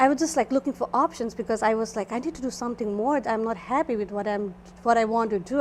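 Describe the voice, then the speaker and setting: Very fast speech in a Nepali accent. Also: woman. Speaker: esthetician. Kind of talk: interview.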